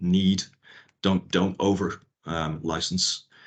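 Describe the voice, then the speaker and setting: The background is quiet. A man speaks in a very deep, low pitch. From Northern Ireland. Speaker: IP lawyer. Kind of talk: workshop talk. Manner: fast. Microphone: video call.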